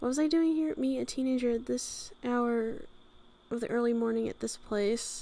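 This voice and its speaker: Amid noticeable background noise, a woman speaks at a fairly slow pace in a fairly high pitch, with ordinary pitch variation and long, frequent pauses. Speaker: let's play gamer. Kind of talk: reading in-game dialogue aloud.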